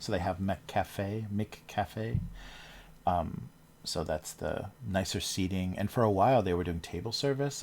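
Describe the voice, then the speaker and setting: A man's very deep, low voice with an American accent and a relaxed tone. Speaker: cartoonist livestreamer. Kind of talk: casual livestream chat while drawing. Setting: livestream from home. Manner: relaxed, rambling with fillers.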